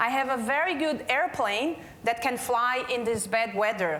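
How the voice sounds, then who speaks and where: Speaking at a fairly slow pace with a non-native accent, a woman with a high pitch and ordinary pitch variation is heard amid audible room echo and noticeable background noise. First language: Portuguese. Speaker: healthcare quality manager. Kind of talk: conference keynote talk.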